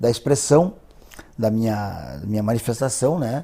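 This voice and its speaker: This man's voice is somewhat breathy. His tone is dark and mellow. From southern Brazil, border region (Santiago, Rio Grande do Sul). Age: 60s. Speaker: cartoonist. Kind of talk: interview. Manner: halting, repeats words.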